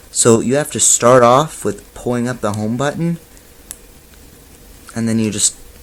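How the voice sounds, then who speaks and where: Noticeable background noise runs under the recording. Over it, a man's speech unfolds at a fairly slow pace. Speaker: tech reviewer. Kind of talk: product review tutorial. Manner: trying to sound more animated.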